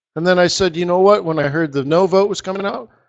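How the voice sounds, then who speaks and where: With an American accent, a man is talking. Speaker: forex market strategist. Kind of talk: live trading webinar chat. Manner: relaxed; hesitant with fillers.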